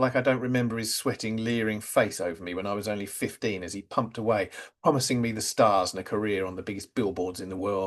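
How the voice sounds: The clip features a natural reading voice. That is the one trait here.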